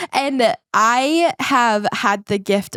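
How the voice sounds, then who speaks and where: A woman's animated tone and lively intonation in a very clean recording with a silent background. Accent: New Zealand. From New Zealand. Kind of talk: podcast interview, personal testimony.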